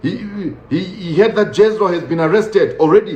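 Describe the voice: Moderate pace amid audible room echo. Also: man.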